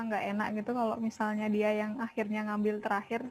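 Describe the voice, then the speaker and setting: A woman speaks at a fairly quick pace with a fairly high voice. Her intonation is flat and monotone. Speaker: workshop participant. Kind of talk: online workshop discussion.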